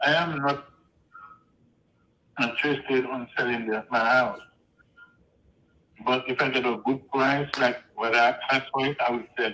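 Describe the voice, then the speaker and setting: A man's medium-pitched voice with a Haitian accent, at a moderate pace, with long, frequent pauses. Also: fairly even intonation. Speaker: homeowner. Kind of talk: phone conversation.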